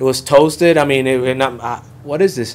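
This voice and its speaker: The voice belongs to a man, pitched in the middle range. Intonation is fairly even throughout. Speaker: real estate employee and former Coast Guard member; speaker. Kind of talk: public panel presentation. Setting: public forum with live audience.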